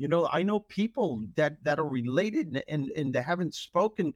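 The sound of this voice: A man's fairly high voice, lively in intonation, with a slightly husky edge and a dry, close sound with no echo.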